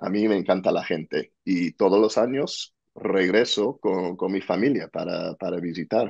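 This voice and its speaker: Speaking at a fairly slow pace with an American accent, a man is heard against a quiet background. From US, New Jersey. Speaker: entrepreneur and author; podcast guest. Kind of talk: interview. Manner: halting, repeats words. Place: home room. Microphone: earbuds.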